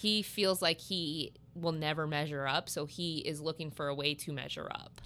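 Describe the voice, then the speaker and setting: A woman with an American accent speaks at a moderate pace in an animated, bright, sharp tone, her pitch fairly low, in a very clean recording with a silent background. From US Midwest, Southern Illinois. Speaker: podcast guest, friend of host. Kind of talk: casual chat. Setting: massage therapy office. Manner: animated, frequent laughter.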